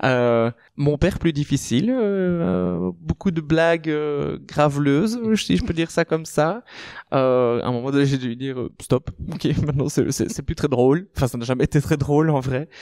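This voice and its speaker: With lively intonation and a fairly high pitch, a man talks at a moderate pace in a dry, close sound with no echo. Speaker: queer podcast guest. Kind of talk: podcast conversation. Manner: loud, expressive.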